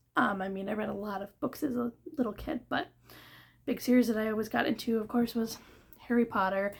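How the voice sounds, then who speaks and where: Fairly quick yet marked by long, frequent pauses, a woman speaks at a fairly high pitch with ordinary pitch variation. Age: 20s. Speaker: book reviewer video creator. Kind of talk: casual chat. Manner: casual, filler-heavy.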